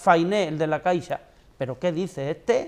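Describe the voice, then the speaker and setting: A man talks at a fairly quick pace. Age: 60s. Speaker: political commentator. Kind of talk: TV debate panel. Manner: animated.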